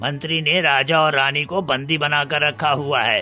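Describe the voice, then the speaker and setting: Faint music plays behind a man doing a cartoonish character voice at a fairly high pitch and moderate pace. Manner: calm, reassuring.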